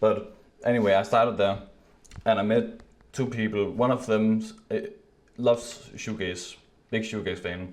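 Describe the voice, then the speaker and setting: A man mumbles at a fairly low pitch in a monotone, flat intonation. He leaves long, frequent pauses, and audible room echo surrounds him. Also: moderate pace. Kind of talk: casual chat. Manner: mumbling.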